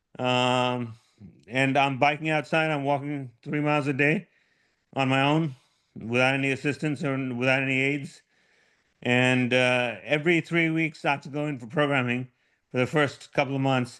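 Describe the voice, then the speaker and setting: The speech runs at a moderate pace with fairly even intonation. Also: man, fairly high pitch for a man. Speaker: Parkinson's patient sharing deep brain stimulation experience. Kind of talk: personal testimony in a support group session. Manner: hesitant, with frequent repetitions.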